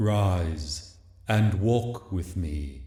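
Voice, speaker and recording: Soft-spoken, the speaker uses a put-on character voice with a slight echo. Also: man, very deep, low pitch for a man. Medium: read story. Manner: gentle, grave.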